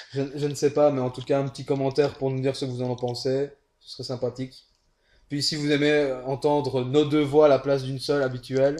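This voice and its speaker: Speaking at a fairly quick pace, a man with a Belgian accent has a fairly high pitch and a dark, mellow tone, his intonation flat and monotone and his loudness swinging widely. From Belgium. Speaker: co-commentator, casual player. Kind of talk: game commentary chat.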